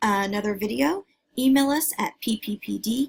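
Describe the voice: Over a quiet background, the plain reading aloud carries ordinary pitch variation.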